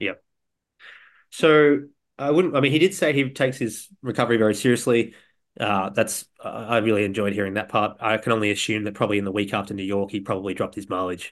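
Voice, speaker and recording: Very fast speech in an Australian accent, with ordinary pitch variation and a quiet background. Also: man, fairly low pitch for a man. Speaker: podcast co-host. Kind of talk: casual chat.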